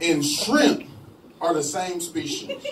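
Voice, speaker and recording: Very wide pitch swings mark a man's speech, heard with light background noise and audible room echo. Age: 20s. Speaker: stand-up comedian. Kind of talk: stand-up. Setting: stage with audience. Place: bar. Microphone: handheld.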